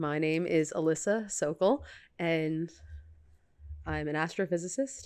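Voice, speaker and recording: On a very clean recording with a silent background, the speaker uses an American accent, a fairly slow pace and ordinary pitch variation. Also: woman. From New York. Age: 30s. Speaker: astrophysicist and professor. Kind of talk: casual chat.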